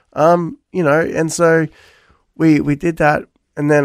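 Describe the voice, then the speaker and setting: This man talks with an Australian accent. His voice is all that is described here. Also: dry, close sound with no echo. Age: 40s. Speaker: pastor. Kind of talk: radio interview.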